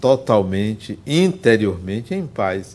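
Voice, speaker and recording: This man talks very slowly. His voice sits at a medium pitch. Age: 60s. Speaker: spiritist speaker and psychologist. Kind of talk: lecture.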